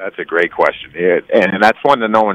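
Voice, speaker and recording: Dry and close with no echo, a man speaks in a Midwestern American accent at a fairly quick pace with ordinary pitch variation. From US Midwest, Cleveland. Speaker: hockey analyst, former player. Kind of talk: sports radio interview.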